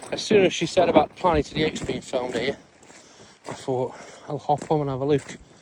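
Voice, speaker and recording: A man speaks against noticeable background noise. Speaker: van life vlogger. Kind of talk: casual vlog narration. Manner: quiet, keeping voice down.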